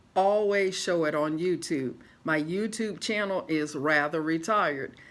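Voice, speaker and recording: An ordinary speaking voice from a woman with an American accent, fairly low in pitch, at a fairly slow pace with ordinary pitch variation. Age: 60s. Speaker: retiree vlogger. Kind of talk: casual vlog monologue.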